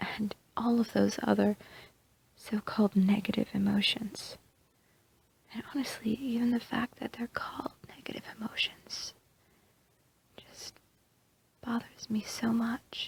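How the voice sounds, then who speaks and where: The voice is whispering and soft-spoken, with long, frequent pauses. The sound is dry and close, with no echo. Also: woman, fairly slow pace, big swings in loudness. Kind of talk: ASMR roleplay. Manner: soft-spoken, whispered.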